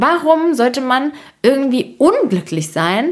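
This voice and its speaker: The woman's voice swings very widely in pitch. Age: 20s. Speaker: podcast host. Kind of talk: casual monologue. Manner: animated.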